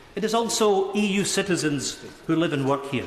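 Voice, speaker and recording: A man's high-pitched voice with a Scottish accent at a moderate pace, over noticeable background noise. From Scotland (Isle of Skye). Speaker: member of parliament. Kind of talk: formal parliamentary speech in the House of Commons.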